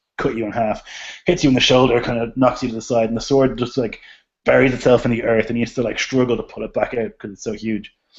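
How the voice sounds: In a natural reading voice with fairly even intonation, the speaker is heard over a quiet background.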